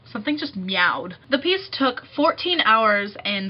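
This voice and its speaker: A woman's voice swings very widely in pitch amid noticeable background noise. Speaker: music student and vlogger. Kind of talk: casual vlog. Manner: fast.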